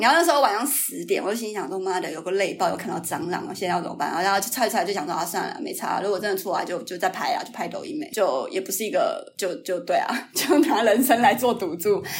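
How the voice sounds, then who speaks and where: A woman talks at a very fast pace with a fairly high pitch and very wide pitch swings. Audible room echo and noticeable background noise run through the recording. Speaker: YouTuber. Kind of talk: casual chat. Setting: remote recording.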